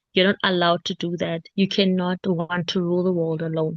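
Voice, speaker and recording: The woman here has a fairly low pitch. She speaks at a fairly quick pace in a flat monotone. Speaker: Bible study presenter. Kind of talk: Bible study presentation. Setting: video call. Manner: halting.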